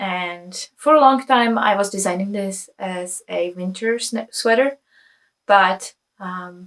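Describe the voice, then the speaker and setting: A woman speaks with a Czech accent at a very slow pace. Her pitch is medium with ordinary variation. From Czech Republic. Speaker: knitwear designer. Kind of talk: casual vlog chat. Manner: hesitant, many fillers.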